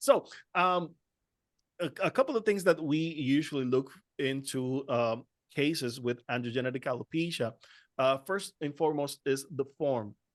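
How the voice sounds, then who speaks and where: A man with a Spanish accent and a fairly high pitch talks at a moderate pace with ordinary pitch variation and long, frequent pauses, in a dry, close sound with no echo over a quiet background. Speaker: trichologist. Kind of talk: panel discussion. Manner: halting.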